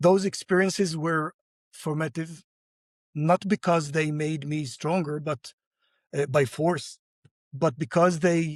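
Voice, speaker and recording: The recording is dry and close with no echo as a man with an Arabic accent speaks at a very slow pace and a fairly high pitch, with ordinary pitch variation. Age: 60s. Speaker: entrepreneur and community leader. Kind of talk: podcast interview.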